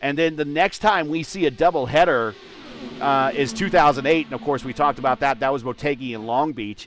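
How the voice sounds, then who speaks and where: Lively intonation carries the speech along at a fairly quick pace. Music plays in the background. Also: man. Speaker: sim racing commentator. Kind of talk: live commentary. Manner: halting, many fillers.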